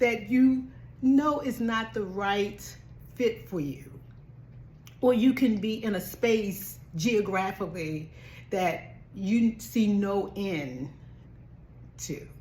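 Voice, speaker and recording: Woman with an American accent at medium pitch, vocal fry, lively intonation, very slow pace with long, frequent pauses, audible room echo. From Baltimore, US. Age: 60s. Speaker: travel vlogger and nurse. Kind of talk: motivational vlog talk. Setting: at home.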